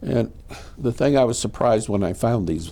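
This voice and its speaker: With an American accent, a man uses lively intonation in a dark, mellow tone marked by vocal fry. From New Britain, Connecticut. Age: 70s. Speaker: war veteran. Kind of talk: oral history interview.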